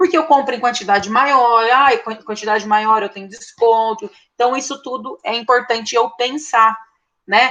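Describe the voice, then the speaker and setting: Bright and sharp in tone, a woman's high-pitched voice moves at a fairly slow pace. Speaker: teacher. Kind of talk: online lecture. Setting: online class.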